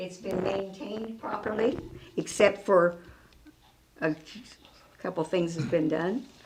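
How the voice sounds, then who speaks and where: With noticeable background noise behind her, a woman talks at a fairly slow pace, her medium pitch showing ordinary variation. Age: 90s. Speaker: resident commenting. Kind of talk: public comment.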